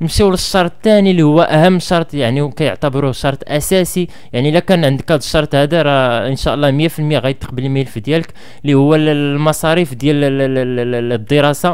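Ordinary pitch variation and a moderate pace from a man, with a quiet background behind him. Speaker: education vlogger. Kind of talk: advice talk to camera. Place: home room. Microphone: studio mic.

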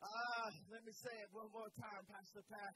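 A man speaks in an animated, warm tone that is also bright and sharp, with a dry sound, no echo and noticeable background noise. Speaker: pastor. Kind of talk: sermon. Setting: church. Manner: animated call-and-response preaching, urging the congregation to answer; warm, emphatic, punctuated by 'Amen' and 'Hallelujah'. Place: church. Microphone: handheld.

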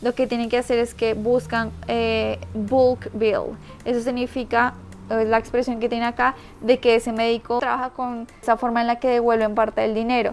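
Faint music plays behind a woman speaking in a fairly high, flat monotone. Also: moderate pace. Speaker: YouTuber, expat vlogger; vlogger. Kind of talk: vlog, informational casual talk. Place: home room. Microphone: lapel.

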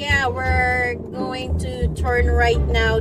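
Clear music plays in the background. The sound is dry with no echo. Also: woman. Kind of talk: casual vlog chat. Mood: soothing, slightly stressed. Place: car. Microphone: phone near.

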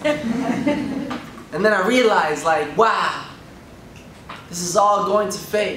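A man's high voice at a very slow pace, with audible room echo and light background noise. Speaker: spoken word poet. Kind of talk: spoken word poetry performance. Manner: rhythmic, emotional. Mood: emotional, grieving. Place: hall.

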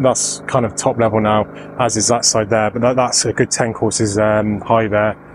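Against noticeable background noise, a man talks fairly quickly in a monotone, flat way, the sound dry with no echo. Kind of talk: casual vlog chat. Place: open country. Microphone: phone near.

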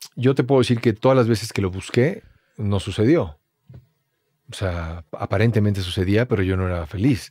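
Against a quiet background, a man with a fairly low pitch and a dark, mellow tone talks at a moderate pace in a dry sound with no echo. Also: ordinary pitch variation. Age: 40s. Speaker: actor. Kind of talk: casual chat. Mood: reflective, thoughtful. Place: studio. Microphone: studio mic.

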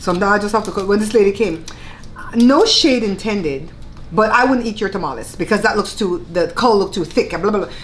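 Fairly quick speech from a woman in a Belizean Creole accent, medium in pitch with ordinary variation, over noticeable background noise. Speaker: cooking channel host. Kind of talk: casual chat while eating (mukbang).

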